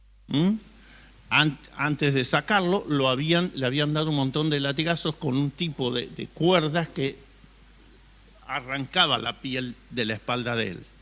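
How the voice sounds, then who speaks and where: A man speaks at a fairly slow pace. His tone is bright and sharp, with ordinary pitch variation. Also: fairly high pitch for a man. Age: 60s. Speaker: pastor. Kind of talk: sermon.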